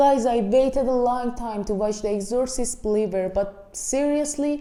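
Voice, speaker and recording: A woman with an Iranian accent talks at a moderate pace with a high pitch and ordinary pitch variation. Her tone is dark and mellow. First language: Persian. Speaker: movie reviewer. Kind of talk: casual video review.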